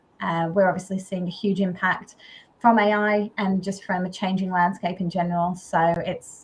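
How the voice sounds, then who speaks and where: A woman speaks at a medium pitch and a moderate pace, somewhat breathy. Her intonation is monotone and flat. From Australia. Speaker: agency founder. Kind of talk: panel discussion.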